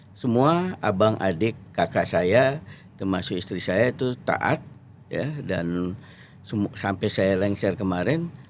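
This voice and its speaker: Very slowly, a man speaks in a fairly low voice with lively intonation. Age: 50s. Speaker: lawyer and former member of parliament. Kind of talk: interview. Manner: halting.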